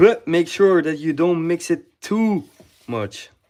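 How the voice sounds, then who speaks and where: A man speaks at a fairly slow pace with ordinary pitch variation. The recording is very clean, with a silent background. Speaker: home cooking vlogger. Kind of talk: live cooking tutorial. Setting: home kitchen at night, others asleep. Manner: casual, hesitant with many fillers; quieter after realizing was loud.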